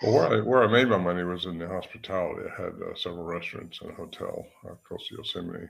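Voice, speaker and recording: A man at a very fast pace, with big swings in loudness. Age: 80s+. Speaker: Bigfoot researcher. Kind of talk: interview. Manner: halting.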